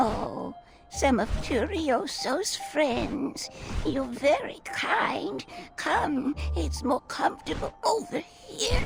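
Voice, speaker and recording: Over clear background music, a cartoonish character voice speaks at a high pitch and a very slow pace. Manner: soft, grandmotherly, storytelling.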